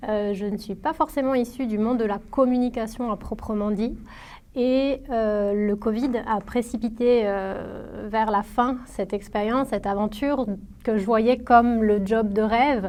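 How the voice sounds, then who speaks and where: Delivery is rather unhurried, and the intonation stays mostly level. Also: woman, fairly high pitch for a woman. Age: 30s. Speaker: former student, marketing professional. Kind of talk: testimony. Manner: hesitant, many fillers and repetitions.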